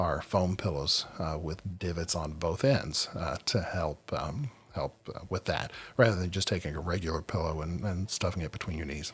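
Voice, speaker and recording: A man's somewhat breathy, very deep and low voice on a very clean recording with a silent background. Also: ordinary pitch variation, moderate pace. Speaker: sleep podcast host. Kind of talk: podcast monologue. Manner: halting, many fillers.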